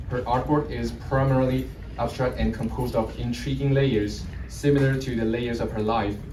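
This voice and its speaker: Speaking at a moderate pace with a non-native accent, a man is heard with audible room echo and noticeable background noise. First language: not English. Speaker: gallery intern presenting artists. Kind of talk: presentation at exhibition opening. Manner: halting, many self-corrections.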